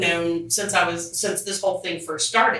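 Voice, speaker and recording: Audible room echo and noticeable background noise around a woman speaking. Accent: American. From Cincinnati, Ohio, US Midwest. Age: 50s. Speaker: podcast guest. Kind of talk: casual chat. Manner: loud; animated.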